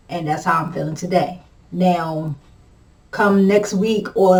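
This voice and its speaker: Audible room echo surrounds a woman's voice. She speaks at a medium pitch and a moderate pace. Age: 40s. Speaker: vlogger living with multiple sclerosis. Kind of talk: casual chat. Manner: halting, with repetitions and fillers.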